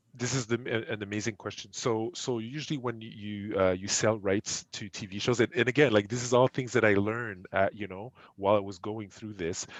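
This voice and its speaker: This man, with a French accent, talks at a fairly quick clip in a fairly low voice, his intonation fairly even, his loudness swinging widely and hardly any pauses between words. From Quebec, Montreal. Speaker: esports entrepreneur. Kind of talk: podcast interview. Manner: halting, many repetitions.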